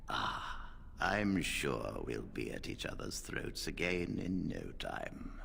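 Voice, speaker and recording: Over clear background noise, a man performs a put-on character voice at a fairly slow pace. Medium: video game. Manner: weary, dignified.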